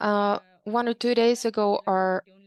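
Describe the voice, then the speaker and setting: A woman speaks with a Nicaraguan accent. The sound is dry and close, with no echo. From Nicaraguan Caribbean coast. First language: Miskito. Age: young. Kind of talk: panel presentation. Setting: video call.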